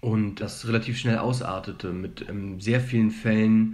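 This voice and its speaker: Audible room echo surrounds a man with a fairly low pitch. His monotone, flat intonation comes at a moderate pace. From Germany. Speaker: student. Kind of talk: interview. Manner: hesitant, many filler sounds.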